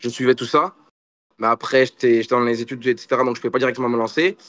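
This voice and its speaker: The sound is dry and close, without echo. A man delivers his words at a very fast pace. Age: 20s. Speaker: jiu-jitsu athlete and influencer. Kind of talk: interview. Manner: casual, animated.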